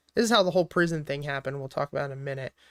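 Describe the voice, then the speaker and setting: A man with a Philadelphia accent on a very clean recording against a silent background. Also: dry, close sound with no echo. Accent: Delco (Philadelphia). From Philadelphia area, Pennsylvania (Delaware County). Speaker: stock trader and livestreamer. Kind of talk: casual livestream chat answering viewers. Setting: livestream with lo-fi music playing. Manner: casual, filler-heavy.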